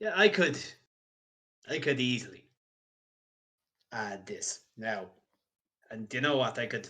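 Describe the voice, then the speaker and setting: In a raspy put-on character voice, a man speaks at a fairly slow pace and medium pitch, with long, frequent pauses. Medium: actual play. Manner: warm, salesmanlike.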